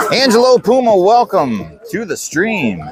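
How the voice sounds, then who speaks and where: Noticeable background noise surrounds a man speaking in a high pitch. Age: 50s. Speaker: softball game livestream commentator. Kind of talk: live commentary. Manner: animated.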